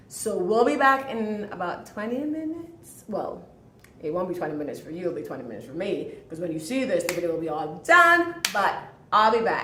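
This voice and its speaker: A woman with a medium pitch speaks at a fairly quick pace, her pitch swinging very widely and her loudness shifting a lot, with audible room echo and noticeable background noise. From Jamaica. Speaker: home cook. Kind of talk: cooking tutorial. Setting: home kitchen. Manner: fast.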